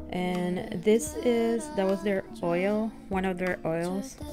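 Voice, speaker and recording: Music plays behind a woman with a non-native accent and a medium pitch. She speaks at a fairly slow pace with lively intonation. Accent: non-native English pronunciation. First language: non-native English speaker. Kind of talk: casual talk to camera. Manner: hesitant, many fillers.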